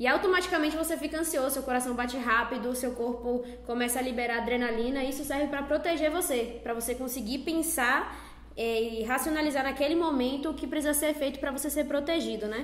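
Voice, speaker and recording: Amid noticeable background noise and audible room echo, a woman talks at a very fast pace in a high pitch with fairly even intonation. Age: 20s. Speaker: psychology student. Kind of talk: casual chat.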